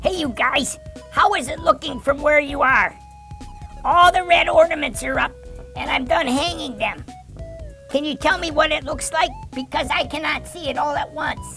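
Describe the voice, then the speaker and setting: A cartoonish character voice with a high pitch moves at a moderate pace while music plays clearly in the background. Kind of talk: children's puppet show. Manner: upbeat, excited.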